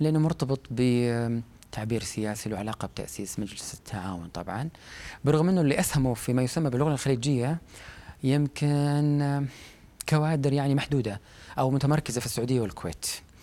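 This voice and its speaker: With a dark, mellow tone, a man speaks at a fairly quick pace, medium pitch and ordinary pitch variation in a very clean recording with a silent background. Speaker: literary critic and academic. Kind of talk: interview.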